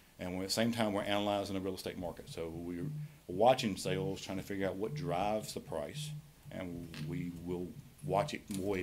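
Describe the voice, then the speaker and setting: With a North Carolina accent, a man with a very deep, low voice talks at a fairly quick pace with lively intonation, and the room echo is audible. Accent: Southern American (North Carolina). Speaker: county tax assessor presenting to commissioners. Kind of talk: public meeting presentation. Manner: fast.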